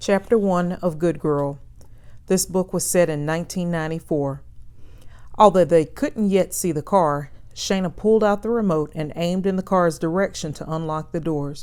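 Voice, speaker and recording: With an ordinary speaking voice, a woman speaks at a moderate pace, fairly low in pitch, with ordinary pitch variation. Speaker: novelist reading her own book. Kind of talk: novel read-aloud.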